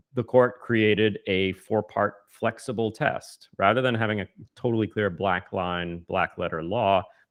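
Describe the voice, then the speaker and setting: A man with a normal speaking voice talks at a fairly slow pace with hardly any pauses. His pitch is fairly low, and his intonation is fairly even. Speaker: podcast co-host. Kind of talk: conversational policy discussion podcast.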